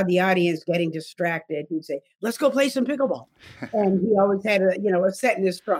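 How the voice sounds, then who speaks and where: In an American accent, a woman speaks at a medium pitch with ordinary pitch variation. She has an unremarkable speaking voice. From New England, US. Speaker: author. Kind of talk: interview.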